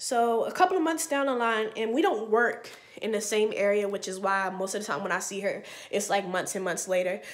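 A woman talks at a fairly quick pace in a fairly high, animated voice with lively intonation. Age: 20s. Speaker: vlogger; hair vlogger. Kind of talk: casual storytelling vlog. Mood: animated, storytelling, mildly exasperated. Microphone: webcam.

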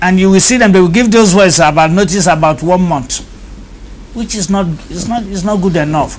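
A man with a high pitch talks at a moderate pace. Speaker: guest. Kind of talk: interview answer. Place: studio. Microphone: lapel.

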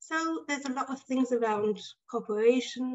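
Against a quiet background, a woman speaks at a high pitch and moderate pace with ordinary pitch variation. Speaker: choral conductor and researcher. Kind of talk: webinar presentation. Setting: video call. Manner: halting. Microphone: video call.

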